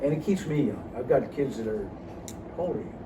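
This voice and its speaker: A man talks at a very fast pace with ordinary pitch variation. Noticeable background noise and audible room echo fill the recording. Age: 70s. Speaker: orthopedic surgeon. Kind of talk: casual interview. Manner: halting, with many fillers and restarts.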